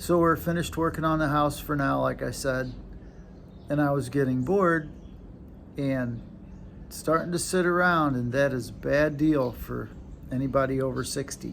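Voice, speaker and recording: There is audible room echo as a man with an American accent speaks with ordinary pitch variation and long, frequent pauses. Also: moderate pace. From United States. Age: 60s. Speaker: retired vlogger. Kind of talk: casual vlog. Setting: at home, handheld camera. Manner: halting.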